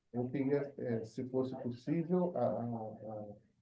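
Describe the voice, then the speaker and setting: A man with a Portuguese accent speaks at medium pitch and a fairly slow pace, somewhat breathy, with ordinary pitch variation. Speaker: forth programmer asking a question. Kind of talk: Q&A in online meeting. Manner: halting, hesitant.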